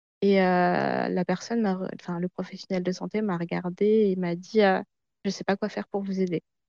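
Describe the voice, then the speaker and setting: In a quiet, dry, close recording with no echo, a woman speaks at a moderate pace in a medium pitch, her dark, mellow tone delivered with monotone, flat intonation. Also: long, frequent pauses. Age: 20s. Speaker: researcher sharing her eating disorder experience. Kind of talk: testimony.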